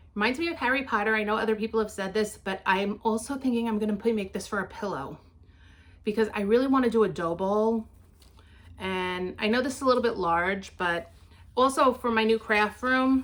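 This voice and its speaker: With a New York accent, a woman with fairly high pitch speaks at a fairly quick pace with ordinary pitch variation. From New York City (Queens). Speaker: craft vlogger. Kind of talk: casual show-and-tell vlog.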